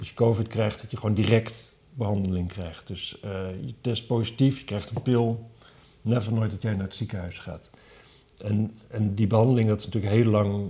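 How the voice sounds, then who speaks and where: Somewhat breathy and fairly low in pitch, a man speaks at a moderate pace with fairly even intonation and big swings in loudness. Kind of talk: casual chat about weekly news.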